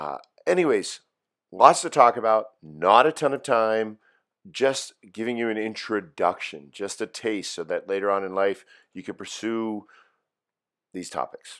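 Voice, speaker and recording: A medium-pitched man with a slight Pittsburgh accent, fairly slow with long, frequent pauses, lively intonation and big swings in loudness, on a very clean recording with a silent background. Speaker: high school philosophy teacher. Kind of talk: recorded lecture for students. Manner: casual, with fillers and repetitions.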